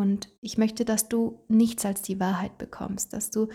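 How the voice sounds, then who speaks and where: The voice moves at a fairly slow pace. Its tone is dark and mellow, and somewhat breathy. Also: woman. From Italy, South Tyrol. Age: 20s. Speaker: podcast host, beautician. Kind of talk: solo podcast monologue.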